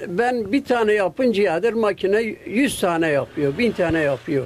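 Very slow in pace, a man speaks at a high pitch with lively intonation. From Gaziantep, Turkey. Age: 80s+. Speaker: kilim weaver. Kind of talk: interview answer. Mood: earnest, concerned for craft. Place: workshop. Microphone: handheld.

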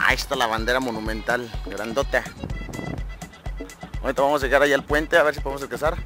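Over clear background music, a man talks very fast yet with long, frequent pauses, the sound dry with no echo. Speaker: radio announcer / locutor. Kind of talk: casual talk to camera, vlog-style tour. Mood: jokey, relaxed. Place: street. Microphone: phone near.

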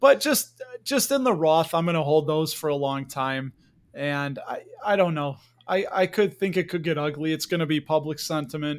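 This man has a normal speaking voice with a fairly high pitch, speaking at a moderate pace with ordinary pitch variation. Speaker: podcast host. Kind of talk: casual interview.

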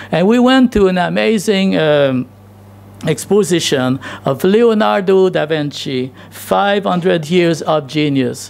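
The pace is very slow. Loudness stays very even throughout. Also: man, high pitch for a man. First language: not English. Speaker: pastor. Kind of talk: sermon. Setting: church. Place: church. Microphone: podium.

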